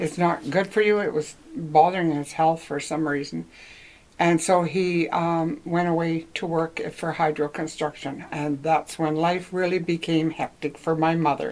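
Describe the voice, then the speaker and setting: In a Canadian accent, the speaker goes at a fairly slow pace in flat, monotone intonation over noticeable background noise. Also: woman, fairly low pitch for a woman. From Northwestern Ontario, Canada. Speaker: local senior interviewee. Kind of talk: oral history interview. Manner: halting.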